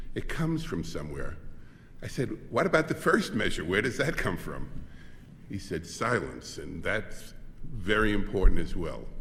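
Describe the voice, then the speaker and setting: A man with an American accent and a fairly low pitch speaks at a moderate pace in a bright, sharp tone with vocal fry. His pitch swings very widely, and audible room echo fills the recording. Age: 70s. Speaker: composer. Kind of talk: speech.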